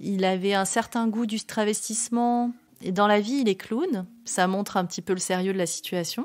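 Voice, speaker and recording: Over a silent background in a very clean recording, a woman speaks at a moderate pace with medium pitch and fairly even intonation. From southern France, Var and Avignon. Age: 40s. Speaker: storyteller of own life. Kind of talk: personal testimony. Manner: halting, many hesitations.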